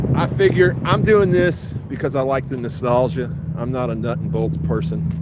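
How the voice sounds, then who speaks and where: Speaking at a moderate pace and medium pitch, a man uses very wide pitch swings, with audible room echo and noticeable background noise. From Virginia, US. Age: 60s. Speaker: car show livestream host. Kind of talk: live stream commentary. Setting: outdoors at car show.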